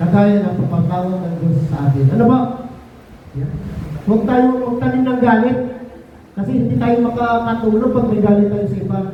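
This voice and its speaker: With noticeable background noise and audible room echo, a man speaks at a high pitch with lively intonation and long, frequent pauses. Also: fairly quick pace. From Visayas, Philippines. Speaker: lay faith seminar speaker. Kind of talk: religious talk. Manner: interactive, asks audience questions.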